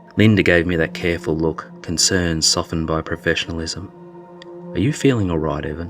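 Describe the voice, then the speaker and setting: Music in the background behind a man's very deep, low voice, moderately paced with fairly even intonation. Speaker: storyteller. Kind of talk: horror story narration.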